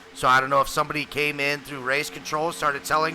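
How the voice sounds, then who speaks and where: A man's voice with ordinary pitch variation, over noticeable background noise. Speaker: sim racing commentator. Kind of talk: live commentary. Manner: loud.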